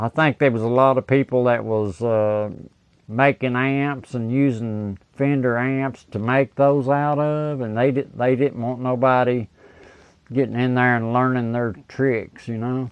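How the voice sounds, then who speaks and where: A man uses an ordinary speaking voice with an American accent at a medium pitch. His intonation is fairly even and his pace fairly slow. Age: 60s. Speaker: guitar amp repair technician. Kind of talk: casual interview chat.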